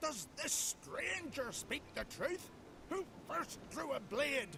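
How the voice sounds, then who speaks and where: The speaker uses a put-on character voice at a very slow pace. Clear background noise is present. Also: man. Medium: video game. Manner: stern, commanding.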